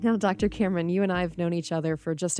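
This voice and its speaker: This is a woman with a normal speaking voice and a fairly low pitch. The sound is dry and close with no echo, on a very clean recording with a silent background. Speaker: podcast co-host, former radio host. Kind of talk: interview. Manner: polished, broadcast-style delivery.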